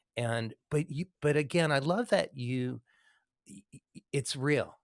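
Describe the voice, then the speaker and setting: Here a man has a plain, everyday voice with ordinary pitch variation and a moderate pace. The sound is dry and close with no echo. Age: 60s. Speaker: podcast host and musician. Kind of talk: interview chat. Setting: live video stream with online audience.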